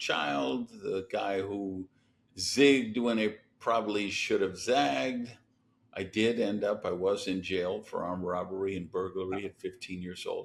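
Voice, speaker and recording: In an American accent, a normal speaking voice moves at a fairly slow pace with lively intonation. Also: man. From US Midwest, Madison, Wisconsin. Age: 60s. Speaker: entrepreneur and business coach. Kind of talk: podcast interview.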